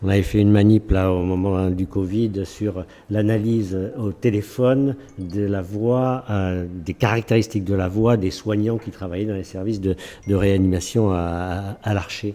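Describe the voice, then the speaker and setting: Fairly low in pitch, a man speaks slowly-ish with a dark, mellow tone and fairly even intonation, at a fairly slow pace. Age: 70s. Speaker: researcher, emeritus professor. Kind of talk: panel discussion. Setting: recorded at a festival. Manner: halting, many fillers.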